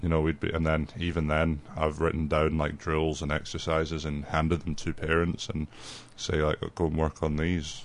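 Very deep, low-pitched male voice in a Scottish accent, flat and monotone, at a moderate pace. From Scotland, near Dundee. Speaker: youth soccer coach. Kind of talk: radio interview. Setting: radio studio.

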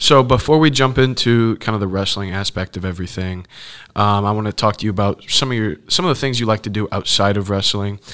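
Very fast speech comes from a man with a fairly low pitch and ordinary pitch variation. The recording is very clean, with a silent background. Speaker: student wrestler and podcast host. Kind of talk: casual interview.

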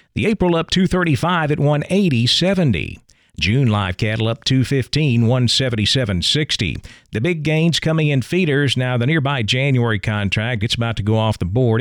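An ordinary speaking voice from a man with an American accent, medium pitch, lively intonation, very even loudness and a fairly slow pace. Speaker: radio farm news host. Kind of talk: radio news presentation. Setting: studio.

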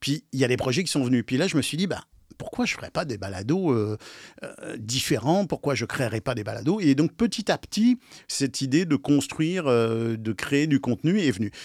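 A normal speaking voice at a moderate pace with lively intonation, a dry, close sound with no echo, and a very clean recording over a silent background. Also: man, medium pitch for a man. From France. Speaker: podcast producer. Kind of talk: interview.

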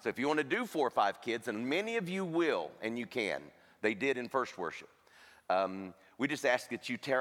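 A man of medium pitch at a fairly quick pace, with very wide pitch swings. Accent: American. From US. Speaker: charity director, former pastor. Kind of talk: appeal talk. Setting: church stage with congregation.

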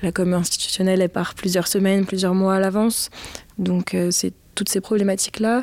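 A woman at medium pitch talks at a fairly quick pace with monotone, flat intonation and very even loudness. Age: 20s. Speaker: communication officer at an arts centre. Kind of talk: documentary interview.

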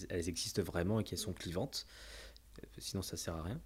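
Vocal fry runs through a man's voice in a very clean recording with a silent background. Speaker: company CEO and cofounder. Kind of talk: casual interview.

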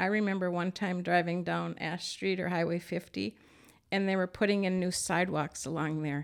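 A woman with an Upper Midwest accent speaks at a moderate pace in a fairly low pitch with fairly even intonation, recorded very cleanly against a silent background. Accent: Upper Midwest (Minnesota). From Minnesota. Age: 60s. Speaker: retired communications worker and former business owner. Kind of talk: interview.

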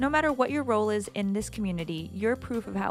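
Over music in the background, a woman talks at a very fast pace with lively intonation. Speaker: podcast host. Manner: fast talker.

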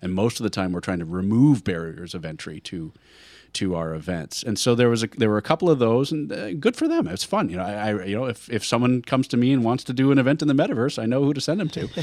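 Very fast delivery with very wide pitch swings, on a very clean recording over a silent background. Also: man, medium pitch for a man. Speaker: event technology consultant, podcast co-host. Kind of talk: casual chat.

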